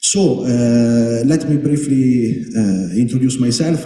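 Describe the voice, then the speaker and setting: A man talks at a medium pitch with an Italian accent and fairly even intonation. Room echo is audible, and background noise is noticeable. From Italy. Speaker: panel moderator. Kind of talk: panel introduction. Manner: halting.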